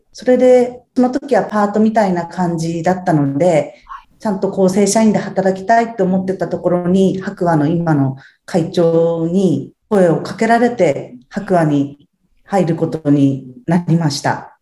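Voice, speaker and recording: In a normal speaking voice, a woman of medium pitch talks fairly slowly with lively intonation. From Japan, Ibaraki (Tsuchiura). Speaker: house cleaning service manager. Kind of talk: interview.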